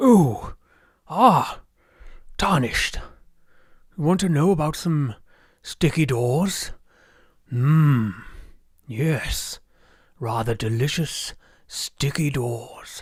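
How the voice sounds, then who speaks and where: On a very clean recording with a silent background, a man in a put-on character voice speaks very slowly at a fairly high pitch, leaving long, frequent pauses. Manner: jolly, cheerful.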